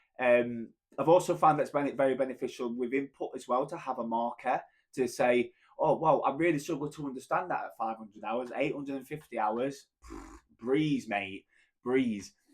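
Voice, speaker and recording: A man with a strong British accent speaks at a moderate pace with ordinary pitch variation. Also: medium pitch for a man. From Britain. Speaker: language learner vlogger. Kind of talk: casual vlog monologue. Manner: halting with fillers and restarts.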